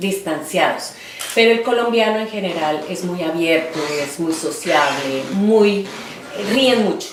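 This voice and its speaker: A woman at medium pitch with ordinary pitch variation and a very slow pace, with audible room echo and noticeable background noise. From Colombia, Bogotá. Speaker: interviewee, artist. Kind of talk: oral history interview. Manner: hesitant, many fillers.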